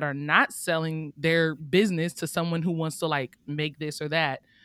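A woman is speaking. She has an American accent. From Oakland, California. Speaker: author and beta reader. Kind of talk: casual interview chat.

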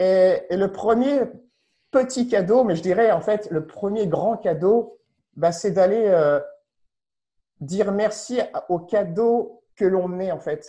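With a dark, mellow tone and a high pitch, a man talks at a very slow pace, using ordinary pitch variation and long, frequent pauses. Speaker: explorer and meaning-in-life speaker. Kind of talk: webinar interview, personal storytelling. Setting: online webinar.

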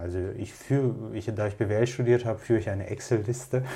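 A Russian accent at a fairly quick pace. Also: man. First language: Russian (speaking German). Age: 30s. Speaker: entrepreneur and long-distance hiker. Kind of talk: casual interview. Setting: pub or bar.

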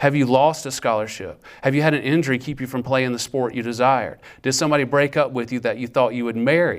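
Speaking at a very fast pace with hardly any pauses, a man is heard on a very clean recording with a silent background. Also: medium pitch for a man. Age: 40s. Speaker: campus ministry speaker. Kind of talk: sermon. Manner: animated.

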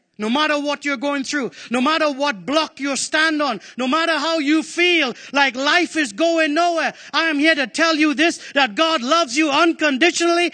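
In a raised, projected voice, a man speaks at an extremely high pitch with an animated, passionate tone that is bright and sharp. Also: hardly any pauses. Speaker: preacher. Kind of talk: sermon. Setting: church with congregation. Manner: animated, call-and-response, urging the congregation to answer; forceful, passionate.

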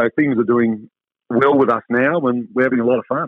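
The speech moves at a moderate pace, and the sound is dry and close with no echo. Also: man.

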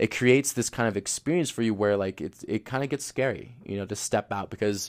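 A man talks in a normal speaking voice at a fairly low pitch and a fairly quick pace, with ordinary pitch variation. The recording is very clean, with a silent background. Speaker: spiritual tarot reader, livestream host. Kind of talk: casual spiritual monologue. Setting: livestream, audio only. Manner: laughs often, filler-heavy.

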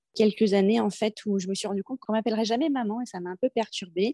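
Recorded dry and close with no echo, a woman speaks at medium pitch with a dark, mellow tone and ordinary pitch variation. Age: 40s. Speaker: new mother, sales manager. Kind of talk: interview testimony.

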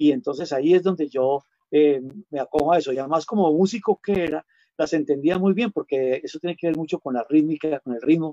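At a fairly quick pace, a man with a fairly high pitch and a dark, mellow tone speaks with ordinary pitch variation, in a dry, close sound with no echo. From Colombia, Huila. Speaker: singer-songwriter and music teacher. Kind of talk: interview conversation. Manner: halting.

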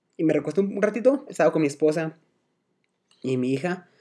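His delivery comes at a very fast pace. The man's intonation is lively. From Guadalajara, Mexico. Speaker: podcast guest. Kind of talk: casual chat. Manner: halting.

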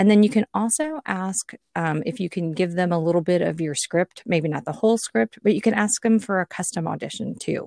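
A woman with a dark, mellow tone and lively intonation speaks in a dry, close sound with no echo. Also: medium pitch for a woman, fairly quick pace. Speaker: voice-over artist. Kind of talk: casual interview chat. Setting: video call.

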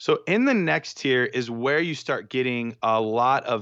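A man with a plain, everyday voice speaks at a medium pitch and a fairly slow pace against a quiet background. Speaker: dynasty fantasy football analyst. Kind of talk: casual banter and discussion.

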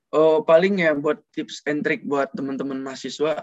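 A man's normal speaking voice, fairly high in pitch with ordinary pitch variation, at a fairly slow pace in a dry, close sound with no echo. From Padang, West Sumatra. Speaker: student cosmetics business owner. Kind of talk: casual interview chat.

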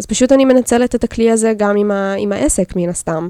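A woman's dark, mellow voice moves at a moderate pace with lively intonation, in a dry, close sound with no echo. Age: 20s. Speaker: illustrator and graphic designer. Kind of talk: casual chat.

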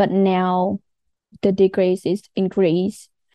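A woman with a Vietnamese accent, medium pitch and a dark, mellow tone, in a dry, close sound with no echo and a quiet background. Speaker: landscape architect and streamer. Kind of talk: casual interview.

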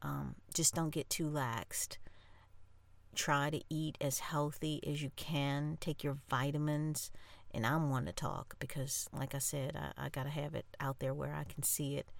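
On a very clean recording with a silent background, a woman speaks fairly slowly with vocal fry at a very deep, low pitch. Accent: American. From New Orleans, Louisiana. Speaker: podcaster. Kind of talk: casual monologue to listeners. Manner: animated.

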